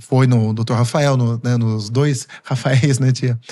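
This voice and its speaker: At a fairly slow pace, a man talks in an ordinary speaking voice at a medium pitch. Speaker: physiotherapist. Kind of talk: podcast interview.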